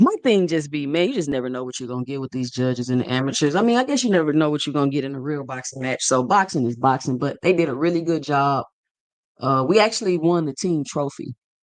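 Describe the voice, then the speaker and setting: This man talks very fast in a fairly high pitch. His pitch variation is ordinary. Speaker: boxing commentator. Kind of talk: live stream commentary. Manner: casual.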